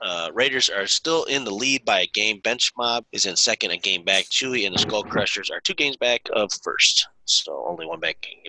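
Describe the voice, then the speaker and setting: With a bright, sharp tone and lively intonation, a man talks at a moderate pace with hardly any pauses, his pitch medium and the sound dry and close with no echo. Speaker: co-host. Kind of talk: casual banter. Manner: joking, laughing.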